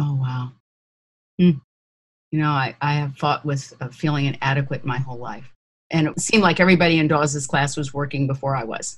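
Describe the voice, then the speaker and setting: A woman talks at a fairly quick pace in a very deep, low voice. She sounds somewhat breathy. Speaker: voice actor. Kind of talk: interview. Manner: animated.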